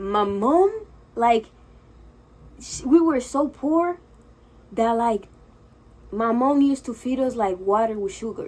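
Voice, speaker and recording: Her intonation lively, a woman with a Spanish accent speaks at a fairly high pitch. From Dominican Republic, Santo Domingo. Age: 20s. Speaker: vlogger. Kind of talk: casual vlog monologue. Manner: nervous, filler-heavy (frequent 'like').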